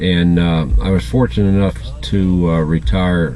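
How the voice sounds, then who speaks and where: With music in the background, a man with an American accent speaks at a moderate pace in a very deep, low voice. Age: 60s. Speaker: retired truck driver vlogger. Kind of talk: casual vlog monologue. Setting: in a parked car. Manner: halting, many fillers.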